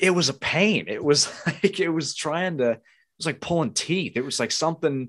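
This man has a normal speaking voice with a fairly high pitch and an American accent. He uses ordinary pitch variation, hardly pauses, and the background is quiet. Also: moderate pace. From US South, southeastern Virginia. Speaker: YouTube gamer. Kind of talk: casual chat. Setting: video call.

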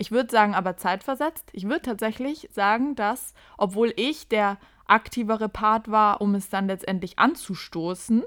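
A woman has a normal speaking voice, pitched fairly high with ordinary variation. She speaks at a moderate pace in a very clean recording with a silent background. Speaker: podcast host. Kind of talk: casual chat.

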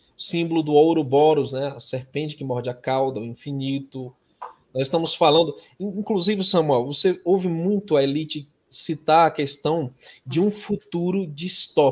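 A man speaks in a plain, everyday voice at a moderate pace. His fairly high pitch shows ordinary variation. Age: 40s. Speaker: religious YouTuber. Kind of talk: religious discussion livestream.

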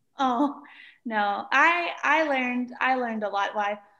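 The intonation is lively, in a Mississippi accent, with a bright, sharp tone. The background is quiet. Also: woman. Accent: Southern US (Mississippi). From US South, rural Mississippi. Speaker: piano teacher. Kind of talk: casual chat.

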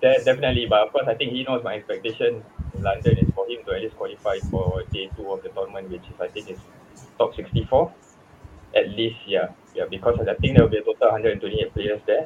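The speech moves at a fairly quick pace. Noticeable background noise can be heard. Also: man. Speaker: esports coach. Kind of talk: interview.

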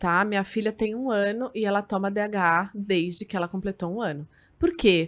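A woman speaks with a medium pitch, ordinary pitch variation, and a moderate pace. It is a plain, everyday voice on a very clean recording with a silent background. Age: 30s. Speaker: nutritionist podcast host. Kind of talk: casual interview.

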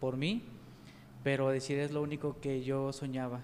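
Fairly high in pitch, a man speaks at a fairly slow pace. His intonation is monotone and flat. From Mexico, Jalisco (Pegueros). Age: 30s. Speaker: grocery store owner and network marketer. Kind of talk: interview.

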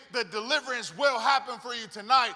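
A man speaks with an extremely high pitch in an animated tone at a fairly quick pace. His voice is raised and projected, with ordinary pitch variation. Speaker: guest preacher. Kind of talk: sermon. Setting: church with live audience. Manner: animated, high-energy, call-and-response.

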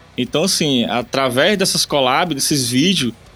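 Over background music, a man of medium pitch speaks fairly slowly with ordinary pitch variation. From Ceará, Brazil (Eusébio, near Fortaleza). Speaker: musician. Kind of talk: casual interview.

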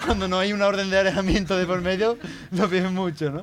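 Noticeable background noise under fairly quick speech. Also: man. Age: 20s. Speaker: podcast host. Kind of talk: casual chat. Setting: studio with live audience.

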